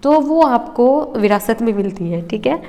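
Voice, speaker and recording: A woman talks at a moderate pace with a fairly high pitch. Noticeable background noise runs behind her. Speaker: exam prep teacher. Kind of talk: lecture. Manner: halting, with pauses and self-corrections.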